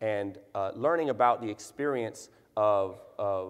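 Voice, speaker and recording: A normal speaking voice from a man, fairly low in pitch with ordinary pitch variation, over a quiet background. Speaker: spoken word poet. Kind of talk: conference talk to an audience.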